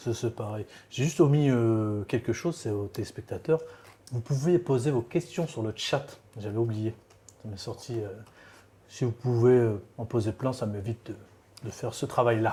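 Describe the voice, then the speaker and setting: The pace is fairly slow. Long pauses come often. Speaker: interviewer, show host. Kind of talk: casual interview questions.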